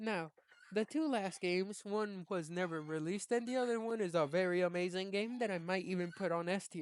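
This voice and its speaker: This woman has a plain, everyday voice, medium in pitch, moving at a fairly quick pace with ordinary pitch variation. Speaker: gaming YouTuber. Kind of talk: casual tier list commentary.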